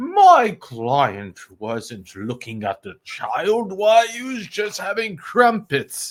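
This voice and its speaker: Doing a put-on character voice in a British accent, a man speaks very slowly at a high pitch, his loudness swinging widely. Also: hardly any pauses. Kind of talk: proper, formal.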